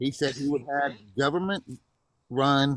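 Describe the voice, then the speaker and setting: A man with a plain, everyday voice talks at a fairly slow pace, using a medium pitch and ordinary pitch variation. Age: 60s. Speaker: caller. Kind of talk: heated debate.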